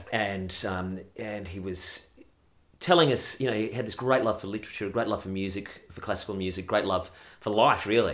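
A man with an Australian accent, fairly low in pitch, ordinary pitch variation, moderate pace. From Australia and UK. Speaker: radio broadcaster. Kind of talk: casual chat.

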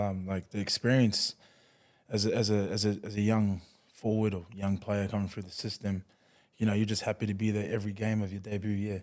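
A man with an Australian accent, fairly low in pitch and dark, mellow in tone, with fairly even intonation, in a very clean recording with a silent background. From New Zealand-born, raised in Queensland from age ten. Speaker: rugby league player. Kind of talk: casual interview. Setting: studio.

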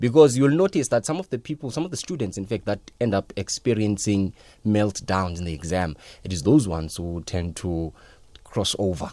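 Lively intonation and a dark, mellow tone come at a moderate pace in a very clean recording with a silent background, the sound dry and close with no echo. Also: man, fairly low pitch for a man. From South Africa, Daveyton. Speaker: education expert. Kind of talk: radio interview.

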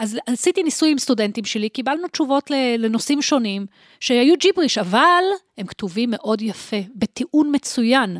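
With lively intonation and a high pitch, a woman talks at a moderate pace in a dry, close recording with no echo. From Israel, Holon. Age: 50s. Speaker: professor of information science. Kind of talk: interview conversation.

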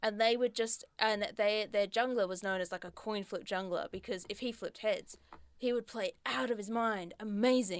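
This woman has an unremarkable speaking voice, fairly high in pitch. She talks at a moderate pace with fairly even intonation. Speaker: radio host. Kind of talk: casual chat. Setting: studio.

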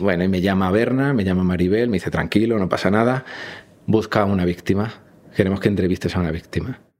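A man with a fairly low voice rushes along very fast, his pitch varying in an ordinary way. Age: 30s. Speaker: journalist. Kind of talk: interview testimony. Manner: halting.

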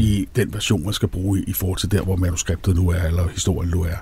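Somewhat breathy, the man's voice carries a dark, mellow tone. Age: 60s. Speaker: screenwriter. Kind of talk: casual chat. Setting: studio.

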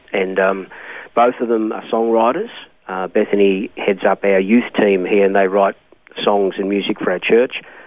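In an Australian accent, a man with a fairly low pitch speaks at a moderate pace in a monotone, flat intonation. Background noise is noticeable. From Australia, Melbourne. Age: 60s. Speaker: pastor. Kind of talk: interview. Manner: hesitant, with many ums and uhs.

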